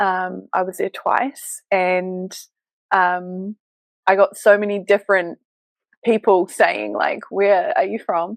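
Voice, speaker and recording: In a New Zealand accent, a woman speaks very slowly at a medium pitch with monotone, flat intonation, the sound dry and close with no echo. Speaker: business mentor and embodiment coach. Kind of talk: interview podcast. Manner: hesitant with fillers.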